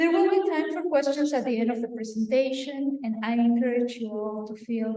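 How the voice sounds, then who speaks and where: Against audible room echo, a woman speaks with a high pitch and a dark, mellow tone. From Venezuela, Táchira near Colombian border. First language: Spanish. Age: 30s. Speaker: visual artist. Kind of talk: artist talk. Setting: auditorium with audience.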